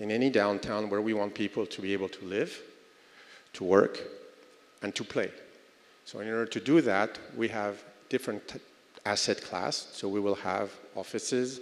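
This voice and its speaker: A man talks at a moderate pace in a French accent, with ordinary pitch variation and a fairly low pitch. Long pauses come often. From France. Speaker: real estate development executive. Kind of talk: conference panel talk. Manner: hesitant, many fillers.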